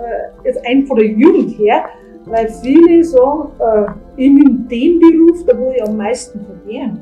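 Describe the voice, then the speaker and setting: Faint music plays behind a woman who speaks at a fairly slow pace in a high pitch with ordinary pitch variation. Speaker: leather cutter. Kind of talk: interview answer. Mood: warm, sometimes laughing. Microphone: lapel.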